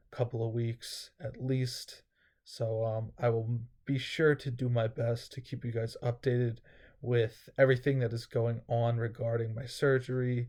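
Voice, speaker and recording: The voice is somewhat breathy and dark, mellow in tone, moving at a fairly slow pace in a monotone, flat intonation. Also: man. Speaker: vlogger. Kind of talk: casual vlog update.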